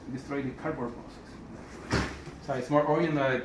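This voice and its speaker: Over noticeable background noise and audible room echo, a man with a non-native accent speaks at a fairly high pitch. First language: Spanish. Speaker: vlogger, toy and art collector. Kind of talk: casual home video monologue. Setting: at home. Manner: halting, repeating words.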